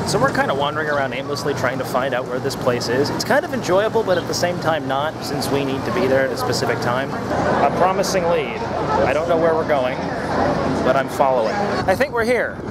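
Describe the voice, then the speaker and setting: Over loud background noise, a man speaks at a fairly quick pace, the sound dry with no echo. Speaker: travel vlogger. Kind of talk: casual vlog chat. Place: waterside. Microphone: phone near.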